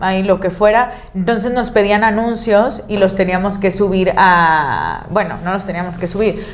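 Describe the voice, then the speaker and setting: A woman's ordinary speaking voice at a medium pitch, fairly slow in pace and fairly even in intonation. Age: 30s. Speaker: content creator. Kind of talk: casual chat.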